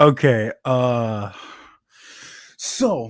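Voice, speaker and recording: A man talks with ordinary pitch variation. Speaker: voice actor. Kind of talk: casual chat. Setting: live stream. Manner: halting.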